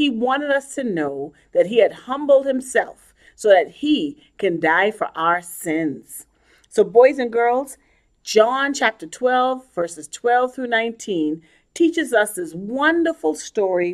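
Very slowly and in a gentle tone, a woman speaks at a fairly high pitch with very wide pitch swings against a quiet background. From Bahamas (Nassau); Bahamas. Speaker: children's ministry leader. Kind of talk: children's sermon. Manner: gentle, storytelling to children.

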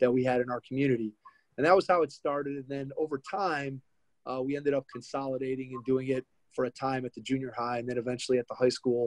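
A man at a very fast pace with fairly even intonation, a quiet background and dry sound with no echo. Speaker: podcast host guest. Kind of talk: interview answer. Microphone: video call.

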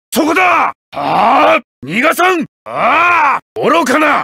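This is a put-on character voice, raised and projected. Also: man. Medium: video game. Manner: stern, formal, commanding.

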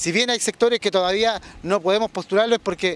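The sound is dry with no echo as a man speaks at a fairly quick pace. His pitch varies in an ordinary way. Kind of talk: interview answer. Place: street. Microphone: handheld.

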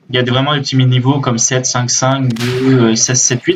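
Some light noise sits in the background. The speaker is a man. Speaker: gaming youtuber. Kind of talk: casual gameplay commentary. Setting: recorded at PC, game audio in background. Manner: halting, hesitant, many fillers. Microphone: webcam.

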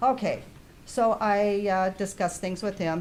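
Room echo is audible as a woman speaks with ordinary pitch variation. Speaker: public commenter at meeting. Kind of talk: public comment at township meeting. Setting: township hall meeting. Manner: loud.

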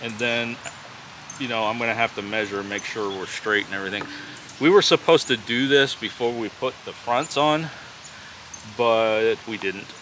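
A man speaks with ordinary pitch variation in a dry sound with no echo, and there is noticeable background noise. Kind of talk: casual vlog chat. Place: forest.

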